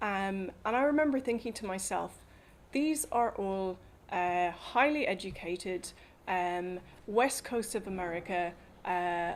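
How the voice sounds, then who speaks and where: A woman with an Irish accent, medium pitch, lively intonation and a fairly slow pace, on a very clean recording with a silent background. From Ireland. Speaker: policy advocate. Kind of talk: talk to an audience. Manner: hesitant, many fillers.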